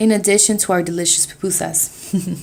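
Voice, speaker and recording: A woman's medium-pitched voice at a moderate pace, intonation fairly even. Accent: Salvadoran. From US, Salvadoran family. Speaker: student. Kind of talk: reading aloud.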